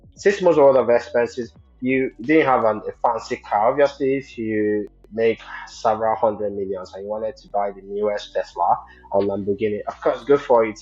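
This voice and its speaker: Music runs beneath a man speaking at medium pitch and a moderate pace, with ordinary pitch variation and big swings in loudness. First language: not English. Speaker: podcast host. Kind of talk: interview.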